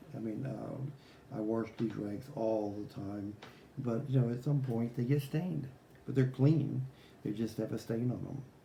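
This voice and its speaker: With audible room echo, a man mumbles in a dark, mellow, somewhat breathy voice of medium pitch, his pitch varying in an ordinary way. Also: moderate pace. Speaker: guitar repair technician. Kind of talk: tutorial. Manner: mumbling; casual, rambling with fillers.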